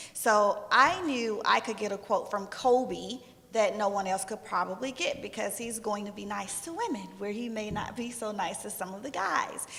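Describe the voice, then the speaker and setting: Pitched fairly high with ordinary variation, a woman talks at a moderate pace with hardly any pauses. Background noise is noticeable. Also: big swings in loudness. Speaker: sports journalist. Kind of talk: panel discussion.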